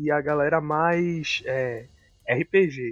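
A man talks with a fairly high pitch and ordinary pitch variation. His is an unremarkable speaking voice. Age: 30s. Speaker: psychologist and tabletop RPG podcast co-host. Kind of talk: casual chat.

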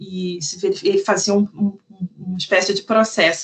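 Her voice is somewhat breathy. This woman keeps to a moderate pace. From Brazil, Rio de Janeiro. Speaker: legal researcher. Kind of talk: podcast interview.

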